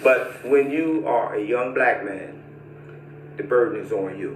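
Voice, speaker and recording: A man talks at a moderate pace. The room echoes audibly, and background noise is noticeable. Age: 60s. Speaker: former prisoner. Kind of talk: testimony.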